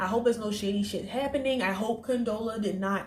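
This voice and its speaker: A woman speaks in an unremarkable speaking voice at medium pitch with ordinary pitch variation. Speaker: TV episode reviewer. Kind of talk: casual review vlog.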